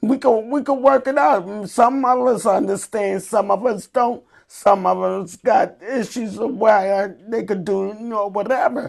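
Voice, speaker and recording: A woman with an unremarkable speaking voice talks at a fairly slow pace, fairly high in pitch, with ordinary pitch variation. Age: 60s. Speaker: Special Olympics athlete. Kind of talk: interview.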